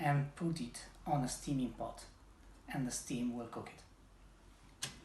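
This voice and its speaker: Somewhat breathy, a man with an Italian accent speaks at a fairly high pitch with ordinary variation, and audible room echo surrounds his voice. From Italy. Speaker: home cook. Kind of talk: casual chat; cooking tutorial.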